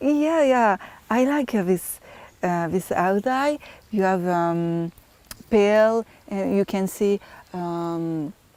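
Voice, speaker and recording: A woman's very slow speech in a French accent, medium in pitch and dark, mellow in tone, broken by long, frequent pauses. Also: lively intonation. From France. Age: 20s. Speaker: beauty pageant contestant. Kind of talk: interview. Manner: halting.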